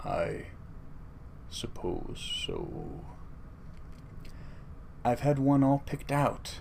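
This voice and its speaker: In a solemn put-on character voice, a man talks at a very slow pace with long, frequent pauses over clear background noise. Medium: read story. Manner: slow, solemn.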